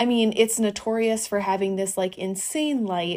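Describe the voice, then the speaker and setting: A woman at medium pitch and moderate pace, an ordinary speaking voice. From US Midwest, Northeast Wisconsin. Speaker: wedding photographer. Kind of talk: casual chat.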